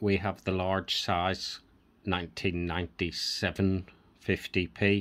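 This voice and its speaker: A man with a Northern Irish accent speaks very slowly in a very deep, low voice, in a very clean recording with a silent background. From Northern Ireland. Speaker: coin collector YouTuber. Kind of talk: casual video vlog, showing coins. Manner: relaxed, conversational.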